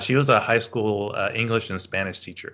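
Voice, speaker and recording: In an American accent, a man speaks with fairly even intonation. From US South, northwest Louisiana (Shreveport). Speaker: rhetoric scholar. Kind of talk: interview. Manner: halting, many repetitions.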